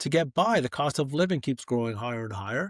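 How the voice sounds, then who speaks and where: In a Canadian accent, a man with an unremarkable speaking voice talks at a fairly quick pace with lively intonation. The recording is very clean with a silent background and a dry, close sound with no echo. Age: 60s. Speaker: author and former fund manager. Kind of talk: podcast interview.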